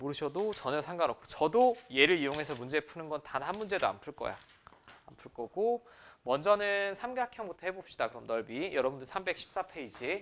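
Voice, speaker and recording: A fairly high-pitched man at a fairly quick pace, with very wide pitch swings and big swings in loudness. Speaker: math teacher. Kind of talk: lecture. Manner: fast.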